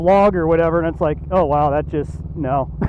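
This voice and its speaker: Amid audible room echo and noticeable background noise, a man speaks with fairly even intonation. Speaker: motorcycle vlogger. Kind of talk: casual chat. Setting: outdoors. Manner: monotone.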